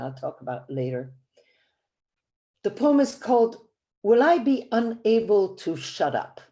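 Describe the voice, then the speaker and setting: A woman with a Belgian accent speaks in a dark, mellow tone with very wide pitch swings. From Belgium. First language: Flemish. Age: 70s. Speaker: poet. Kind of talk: poetry reading. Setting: video call.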